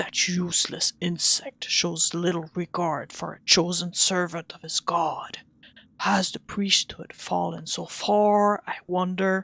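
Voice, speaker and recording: A put-on character voice, raspy and menacing, at middle pitch and a fairly slow pace. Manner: menacing, contemptuous.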